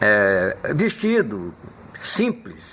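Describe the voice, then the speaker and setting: A man speaks with very wide swings in pitch. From Minas Gerais, Brazil; Rio de Janeiro from age 12. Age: 80s+. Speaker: elderly interviewee recounting his life. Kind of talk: documentary interview.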